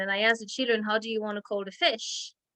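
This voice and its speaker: A woman speaks with a bright, sharp tone at a fairly high pitch. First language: French. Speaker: Montessori teacher leading parent workshop. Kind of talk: parent education talk over video call. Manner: halting, many repetitions and fillers.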